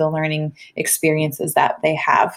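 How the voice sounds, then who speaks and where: This woman has a fairly low pitch and speaks with a Minnesotan accent. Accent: Minnesota. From US Midwest, Minnesota. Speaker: school principal. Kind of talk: recorded presentation to parents. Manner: fast; animated.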